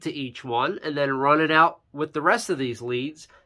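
The setting is quiet. A man's tone comes across bright and sharp. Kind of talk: tutorial.

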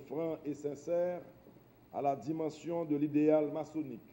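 A man speaks at a very slow pace. His pitch shows ordinary variation. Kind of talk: formal speech. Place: hall.

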